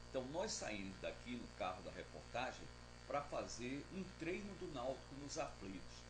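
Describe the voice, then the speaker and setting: Amid noticeable background noise and audible room echo, a man with a northeastern Brazilian accent speaks at a fairly slow pace. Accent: Northeastern Brazilian accent, kept. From Northeast Brazil (Pernambuco). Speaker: TV reporter. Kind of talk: interview testimony. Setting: TV station office, interview recording. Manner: conversational with hesitations.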